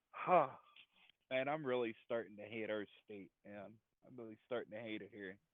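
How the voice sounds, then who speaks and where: With an American accent, a man of medium pitch speaks at a moderate pace, with ordinary pitch variation, big swings in loudness and long, frequent pauses. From New Jersey. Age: 30s. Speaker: friend of host. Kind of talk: casual chat. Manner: halting.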